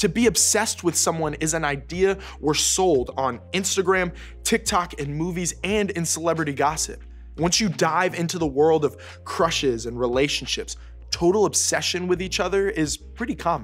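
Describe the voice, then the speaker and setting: Moderate pace over faint music in the background. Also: man. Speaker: youth program host. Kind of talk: scripted talk to camera for teens. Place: studio.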